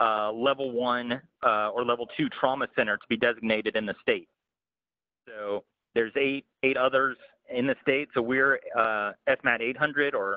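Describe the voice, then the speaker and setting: In an ordinary speaking voice, a man talks at a moderate pace, with medium pitch and fairly even intonation. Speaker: emergency preparedness coordinator. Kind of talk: training presentation. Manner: frequent fillers, um and uh.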